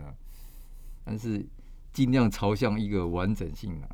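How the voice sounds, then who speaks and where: In a room with audible echo, a man talks at a moderate pace with a fairly low pitch and a dark, mellow tone. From Taiwan, Kaohsiung. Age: 60s. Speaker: architect and author. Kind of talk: interview.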